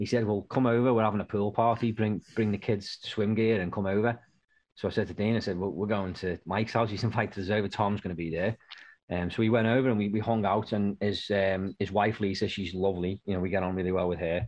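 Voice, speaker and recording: With a British accent, a man of fairly low pitch talks at a very fast pace in a monotone, flat intonation. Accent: UK. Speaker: podcast host. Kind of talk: casual chat. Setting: video call.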